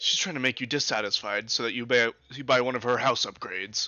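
This is plain reading aloud. The pitch holds fairly even throughout.

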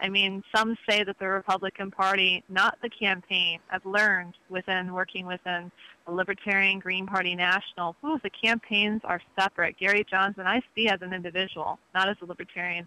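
The woman's medium-pitched voice stays monotone, with flat intonation. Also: moderate pace. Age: 30s. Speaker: founder of an election reform organization. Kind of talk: interview.

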